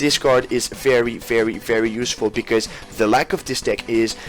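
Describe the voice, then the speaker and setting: A man's medium-pitched voice with music in the background. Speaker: card game YouTuber. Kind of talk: deck profile tutorial. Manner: halting, with restarts.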